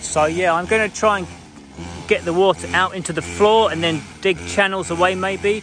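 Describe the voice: A man speaks at a moderate pace with fairly even intonation. His voice is high-pitched and fairly bright in tone.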